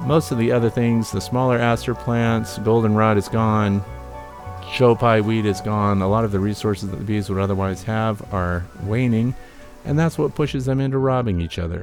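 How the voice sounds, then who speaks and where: Music plays in the background as a man speaks. His pitch is fairly low, with ordinary variation, and his pace is moderate. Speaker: beekeeper. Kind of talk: narrated educational video update.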